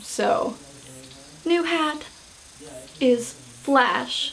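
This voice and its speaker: Noticeable background noise and audible room echo around a woman with an American accent. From United States. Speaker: vlogger. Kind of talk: casual vlog. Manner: hesitant, many fillers.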